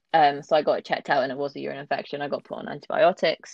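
Very fast-paced, a woman talks with a southern English accent. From London area, England. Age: 20s. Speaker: kidney transplant patient. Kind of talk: casual interview.

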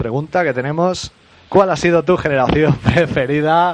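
With a Spanish accent, a man speaks at a fairly high pitch for a man. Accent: Spanish (Spain). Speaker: podcast host. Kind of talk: casual chat.

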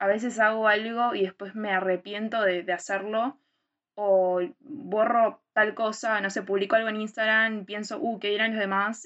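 A woman's ordinary speaking voice, fairly high in pitch, fairly slow in pace, with fairly even intonation. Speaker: podcast co-host. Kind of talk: casual chat.

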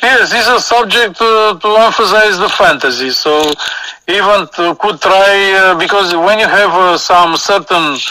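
A man's raised, projected voice with a Romanian accent, high pitch, ordinary pitch variation and very even loudness, against noticeable background noise. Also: fairly slow pace. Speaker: guest. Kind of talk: casual chat. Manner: halting.

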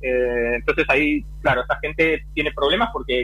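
At a fairly quick pace, a man talks over noticeable background noise. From Argentina, Buenos Aires. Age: 40s. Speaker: offshore sailor. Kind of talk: interview.

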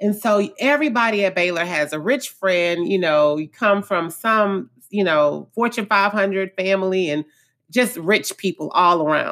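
In a very clean recording with a silent background, a woman with an American accent speaks at a fairly slow pace. Her medium-pitched voice is animated, with ordinary pitch variation. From Houston, Texas (Acres Home). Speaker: therapist and podcast host. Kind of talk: motivational monologue.

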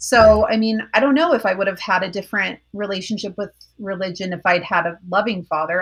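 Over a quiet background, a woman with an American accent and an ordinary speaking voice talks at a moderate pace in a medium pitch with fairly even intonation. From Colorado. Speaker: former evangelical college student. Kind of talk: interview testimony.

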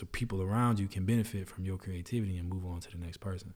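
Speaking at a very fast pace, the voice is somewhat breathy with fairly even intonation. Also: man. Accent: American. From New Orleans. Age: 30s. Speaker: video producer and creative entrepreneur. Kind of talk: casual interview chat.

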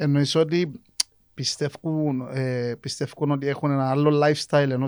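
In a Cypriot accent, a man speaks slowly-ish at a fairly high pitch with monotone, flat intonation, on a very clean recording with a silent background. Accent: Cypriot Greek. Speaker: podcast host. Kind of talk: casual chat.

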